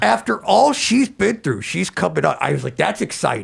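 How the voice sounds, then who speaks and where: A man adopts a put-on, raspy character voice and keeps a moderate pace. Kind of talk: podcast interview. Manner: excitable, upbeat.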